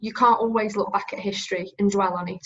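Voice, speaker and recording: A woman speaks fairly quickly in a fairly high, somewhat breathy voice. Her intonation stays fairly even. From northern England, Staffordshire. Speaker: recruitment business leader, interviewer. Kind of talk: interview. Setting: video call.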